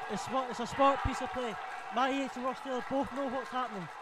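Over crowd noise in the background, a man talks at a very fast pace in an extremely high pitch. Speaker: match co-commentator, analyst. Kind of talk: live football commentary. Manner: measured, analytical.

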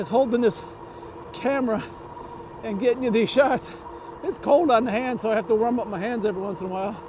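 The speech runs at a very fast pace. The sound is dry with no echo, with noticeable background noise. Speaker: e-bike vlogger. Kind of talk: casual vlog chat. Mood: reflective, then lighter. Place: bicycle. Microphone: lapel.

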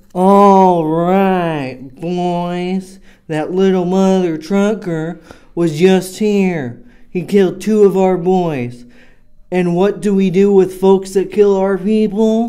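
This man talks at a very slow pace. His pitch is high for a man, and his intonation is fairly even. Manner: rowdy, boastful.

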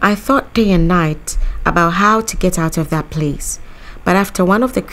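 Reading in an unforced voice

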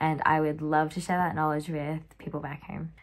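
A woman with an Australian accent speaks at a moderate pace in a very deep, low voice. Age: 20s. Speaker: cheerleader. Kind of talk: tryout video pitch. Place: home room. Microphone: phone near.

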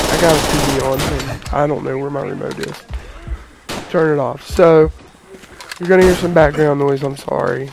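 Noticeable background noise sits behind a man speaking at a moderate pace. His intonation is fairly even. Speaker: gaming YouTuber. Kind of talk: gameplay commentary. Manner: casual, halting with fillers.

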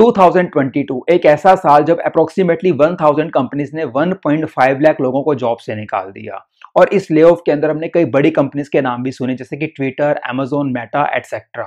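A man is speaking at a fairly slow pace. His pitch varies an ordinary amount. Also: quiet background. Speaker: finance explainer host. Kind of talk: explainer presentation in Hindi.

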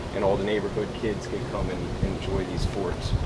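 A man talks while loud noise fills the background. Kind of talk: eulogy. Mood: warm, fond remembrance. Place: tent. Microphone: camera far.

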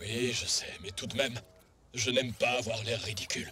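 A man's raspy, cartoonish character voice at medium pitch and moderate pace, with light background noise. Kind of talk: acted cartoon dialogue. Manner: earnest, worried. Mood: embarrassed, slightly grumbling.

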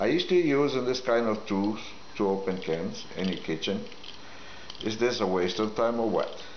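A man with a non-native accent talks at a moderate pace, with audible room echo and light background noise. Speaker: product demonstrator. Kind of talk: product demo talk to camera. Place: kitchen. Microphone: camera far.

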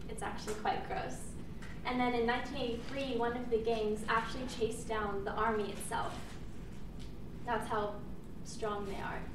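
A woman speaks with monotone, flat intonation. Noticeable background noise and audible room echo surround her voice. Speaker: presenter. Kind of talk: class presentation speech. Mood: slightly nervous, informal. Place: classroom. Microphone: camera far.

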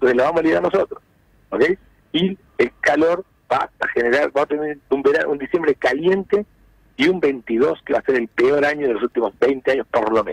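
A man talks fairly quickly, the sound dry and close with no echo. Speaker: economist. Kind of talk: phone interview.

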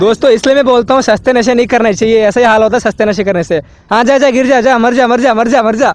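A man speaks very fast in an extremely high pitch, his intonation fairly even. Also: dry sound with no echo. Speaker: vlogger filming friends. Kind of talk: casual vlog chat. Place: open country. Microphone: phone near.

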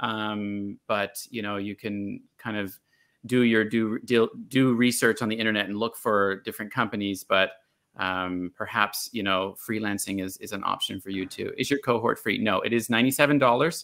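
A man's fairly low voice, bright and sharp in tone, with fairly even intonation, a moderate pace and a quiet background. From Bermuda and Canada. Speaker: online teaching coach and channel host. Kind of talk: casual interview chat. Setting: live video stream. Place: home room.

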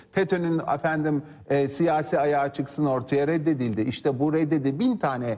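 Fairly high in pitch yet dark and mellow in tone, a man speaks at a moderate pace with ordinary pitch variation. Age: 50s. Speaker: lawyer and politician; lawyer, politician. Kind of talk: TV political interview. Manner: animated. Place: studio. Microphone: lapel.

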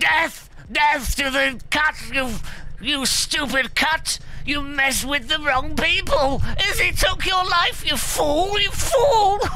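A man uses a put-on character voice at a very slow pace. Clear background noise can be heard. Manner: ranting, furious, menacing.

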